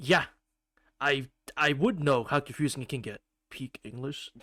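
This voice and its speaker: A man with a non-native accent and a fairly high pitch speaks at a moderate pace in a bright, sharp tone, with ordinary pitch variation, long, frequent pauses and big swings in loudness. The recording is very clean with a silent background, and the sound is dry and close with no echo. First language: not English. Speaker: gaming streamer. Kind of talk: reading game text aloud; casual live-stream chat.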